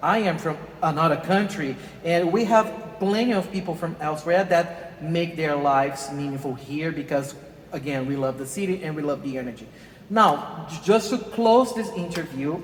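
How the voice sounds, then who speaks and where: Amid noticeable background noise, a man with a Brazilian Portuguese accent and a fairly high pitch speaks at a moderate pace with ordinary pitch variation. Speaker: interview host. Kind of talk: interview. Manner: halting.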